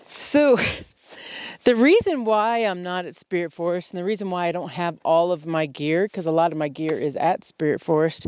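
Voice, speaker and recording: A woman with fairly low pitch speaks using lively intonation. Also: dry, close sound with no echo. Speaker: outdoor vlogger. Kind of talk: casual vlog narration. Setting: outdoors. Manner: loud.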